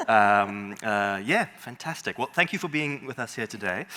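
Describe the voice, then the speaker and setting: There is noticeable background noise behind a man whose voice sits at a fairly low pitch. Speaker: panel moderator. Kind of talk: panel discussion. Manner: fast.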